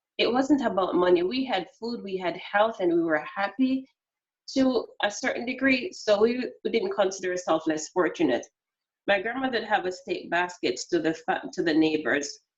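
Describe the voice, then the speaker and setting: A woman speaks in a Jamaican accent. Her pitch is medium and her pace moderate. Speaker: customer service expert. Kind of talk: interview. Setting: video call.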